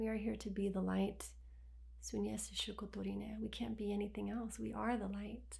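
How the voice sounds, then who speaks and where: A woman speaks softly. Audible room echo surrounds her voice. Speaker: spiritual healer. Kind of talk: guided healing session. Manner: soft-spoken; slow.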